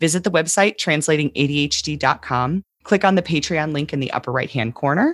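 The speech has hardly any pauses and ordinary pitch variation, with a dry, close sound and no echo. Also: woman, very deep, low pitch for a woman. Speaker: podcast host and ADHD coach. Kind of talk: podcast discussion. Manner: slow, deliberate podcast delivery.

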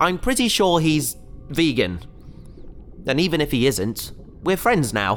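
Over music in the background, a man with a nervous tone and fairly high pitch speaks at a fairly slow pace with long, frequent pauses, his pitch swinging very widely while his loudness stays very even. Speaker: voice actor playing a character. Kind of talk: sci-fi audio drama, comic scripted dialogue. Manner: nervous, rambling, flustered and wry while trapped and in peril.

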